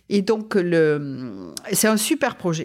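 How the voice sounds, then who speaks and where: Her medium-pitched voice comes through a very clean recording with a silent background. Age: 50s. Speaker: company executive. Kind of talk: interview. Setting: in person.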